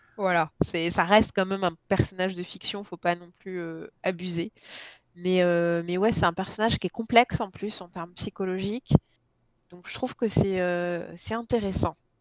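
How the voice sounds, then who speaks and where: A woman talks in a normal speaking voice at medium pitch and a moderate pace, with fairly even intonation. Her loudness swings widely, and the sound is dry and close with no echo. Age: 30s. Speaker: book blogger. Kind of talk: casual chat.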